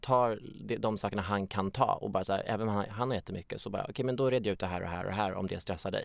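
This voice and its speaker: Recorded very cleanly against total silence, a male voice shows typical rise and fall in pitch. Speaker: stand-in podcast co-host. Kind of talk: casual chat.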